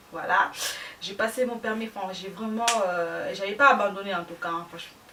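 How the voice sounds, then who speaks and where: Amid noticeable background noise, a woman talks at a moderate pace and medium pitch, with ordinary pitch variation and big swings in loudness. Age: young. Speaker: vlogger. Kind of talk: casual chat.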